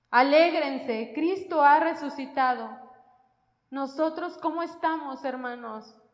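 A woman speaks very slowly at a high pitch, with ordinary pitch variation. Room echo can be heard. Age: 40s. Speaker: lay preacher. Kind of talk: sermon.

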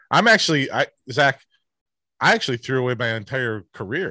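In a dry, close sound with no echo, a man with an American accent speaks in a bright, sharp tone with lively intonation. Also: quiet background. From US Midwest, Cleveland. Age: 50s. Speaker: author and former marketer. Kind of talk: casual interview chat.

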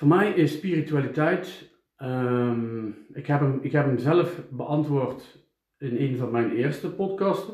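There is audible room echo as a man speaks very slowly in a fairly high voice with ordinary pitch variation. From Eindhoven, Netherlands. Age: 40s. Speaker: podcaster. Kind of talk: casual interview chat.

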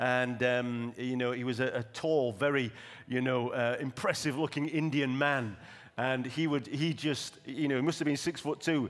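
An ordinary speaking voice from a man, medium in pitch, at a moderate pace with fairly even intonation and very even loudness. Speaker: church pastor. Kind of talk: sermon. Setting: church.

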